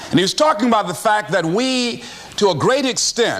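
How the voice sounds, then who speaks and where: A man's high voice in an American accent, fairly slow, with very wide pitch swings, over noticeable background noise. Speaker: motivational speaker. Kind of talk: motivational speech.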